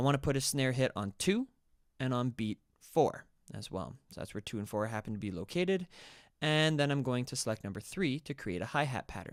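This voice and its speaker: Heard in a very clean recording with a silent background and a dry, close sound with no echo, a man with an unremarkable speaking voice talks at a moderate pace and medium pitch, his intonation lively. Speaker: music production tutor. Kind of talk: tutorial.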